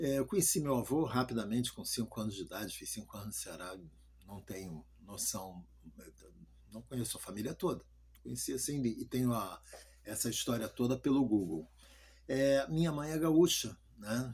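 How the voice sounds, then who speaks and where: A somewhat breathy man speaks at medium pitch and a moderate pace with lively intonation. His loudness swings widely, and long, frequent pauses break up his speech. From Rio de Janeiro, Brazil. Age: 60s. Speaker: pastor. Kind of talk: testimony. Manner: halting.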